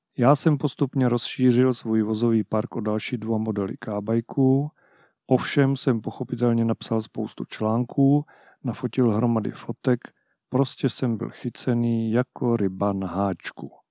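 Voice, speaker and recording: In a very clean recording with a silent background and a dry, close sound with no echo, a man speaks fairly slowly at medium pitch, with fairly even intonation and a dark, mellow tone. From Haná, Moravia, Czechia. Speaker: podcast host and scooter blogger. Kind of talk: scripted narration.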